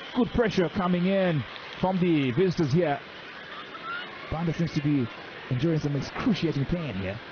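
Over noticeable background noise, a man with a fairly high pitch speaks in an animated tone with lively intonation at a moderate pace, leaving long, frequent pauses. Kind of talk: live commentary. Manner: animated, excitable, punchy exclamations.

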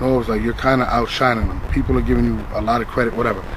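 Recorded with a dry sound with no echo and light background noise, a man speaks with ordinary pitch variation. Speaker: battle rap league co-founder; storyteller in documentary interview. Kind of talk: casual interview. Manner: animated. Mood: reflective, animated at times. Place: garden.

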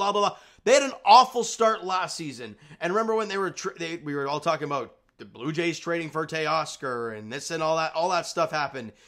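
In a quiet background, a man with a bright, sharp tone moves at a fairly quick pace through very wide pitch swings. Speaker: sports fan channel host. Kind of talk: casual sports commentary vlog. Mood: upbeat after team win. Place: home room. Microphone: webcam.

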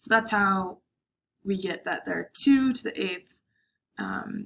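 A woman talks at a fairly slow pace, her voice somewhat breathy. Light background noise can be heard. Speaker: instructor. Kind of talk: lecture. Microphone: webcam.

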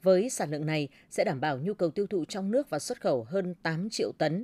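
With a dark, mellow tone and lively intonation, a woman speaks in a dry sound with no echo. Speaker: radio news presenter. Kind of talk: news reading. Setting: studio. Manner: formal. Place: studio.

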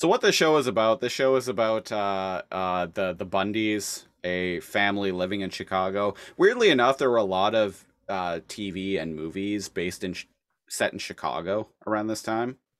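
Against a quiet background, a man with a Canadian accent speaks at a moderate pace in a fairly low voice with ordinary pitch variation. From Canada. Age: 30s. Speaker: podcast host. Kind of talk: casual chat. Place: home room.

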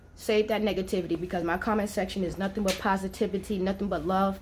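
Over light background noise, a woman at medium pitch talks at a fairly quick pace in a monotone, flat intonation. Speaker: vlogger. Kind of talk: casual vlog. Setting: homeless shelter. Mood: frustrated but upbeat. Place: home room. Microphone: phone near.

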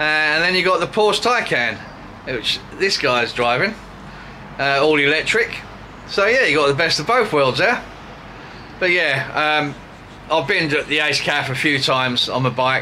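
At a moderate pace, a man talks with long, frequent pauses over light background noise. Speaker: vlogger. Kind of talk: casual vlog chat. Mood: cheerful, relaxed. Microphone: phone near.

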